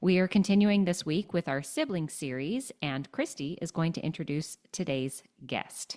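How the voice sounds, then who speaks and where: Here is a plain, everyday voice, a woman's, fairly low in pitch with lively intonation. She keeps a moderate pace with hardly any pauses on a very clean recording with a silent background. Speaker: podcast co-host. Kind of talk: podcast hosting.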